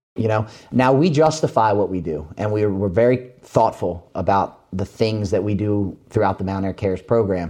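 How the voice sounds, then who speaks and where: A man with an American accent speaks at a moderate pace in a fairly low pitch. His tone is dark and mellow, with ordinary pitch variation. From Maryland, suburbs of Baltimore. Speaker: agricultural company community relations manager. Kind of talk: interview.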